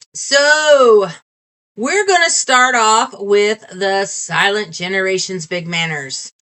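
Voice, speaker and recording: Loud woman at a medium pitch, very slow pace and very wide pitch swings. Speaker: video podcast host. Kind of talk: casual chat.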